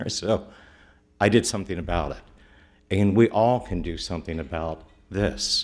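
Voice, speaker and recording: Using a Midwestern US accent, a man speaks at a fairly slow pace with vocal fry, on a very clean recording with a silent background. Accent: US Midwest. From Middletown, Ohio. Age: 60s. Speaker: local attorney, public commenter. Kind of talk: public comment at council meeting. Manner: earnest, emphatic.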